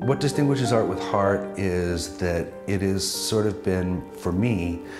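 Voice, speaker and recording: Clear music can be heard behind a man as he talks. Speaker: auction host. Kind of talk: charity auction host opening. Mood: warm, heartfelt. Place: studio. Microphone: lapel.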